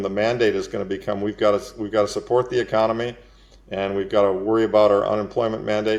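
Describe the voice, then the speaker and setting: At a very fast pace, a man talks in a fairly low pitch with monotone, flat intonation. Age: 60s. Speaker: investor and fund manager. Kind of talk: interview. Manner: conversational with fillers.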